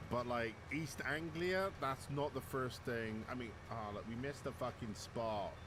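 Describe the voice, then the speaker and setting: A man with a Bristol accent talks at a moderate pace with ordinary pitch variation. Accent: native Bristolian. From West Country of England, Bristol. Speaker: video game streamer. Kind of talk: casual live-stream chat while gaming. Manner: casual, frequent filler words and self-repetition.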